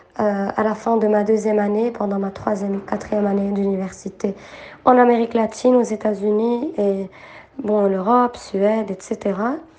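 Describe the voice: Audible room echo surrounds a woman who speaks at a medium pitch with a slightly mellow tone and fairly even intonation.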